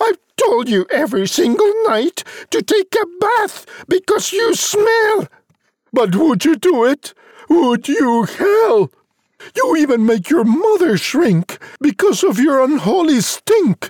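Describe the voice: This put-on character voice moves at a slow pace with big pitch swings, a slightly mellow tone and a dry, close sound with no echo.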